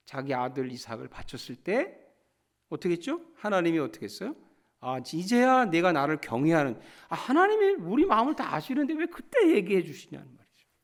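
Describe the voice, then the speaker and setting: Very wide pitch swings mark this man's speech at a moderate pace. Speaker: pastor. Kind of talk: sermon.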